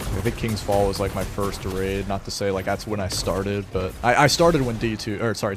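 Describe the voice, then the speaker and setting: A man at a fairly low pitch and fairly quick pace, with music in the background. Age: 20s. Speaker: gaming streamer. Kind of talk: casual chat. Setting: live stream.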